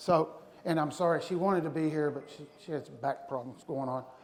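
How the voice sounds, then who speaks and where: A fairly high-pitched man amid audible room echo and noticeable background noise. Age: 60s. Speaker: navy veteran, conference speaker. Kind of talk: motivational talk. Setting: stage with audience. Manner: animated.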